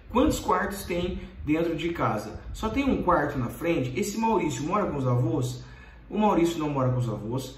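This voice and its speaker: A man speaks at a moderate pace, his pitch swinging very widely. Audible room echo fills the recording. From Brazil. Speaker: YouTuber. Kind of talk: Q&A video reading follower questions. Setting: recording late at night. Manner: direct and brisk. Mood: earnest, somewhat defensive. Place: home room. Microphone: phone near.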